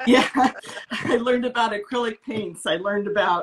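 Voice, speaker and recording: A woman's bright, sharp tone comes through at a fairly slow pace over light background noise. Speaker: guest. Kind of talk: interview answer. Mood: warm, smiling. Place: home room. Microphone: video call.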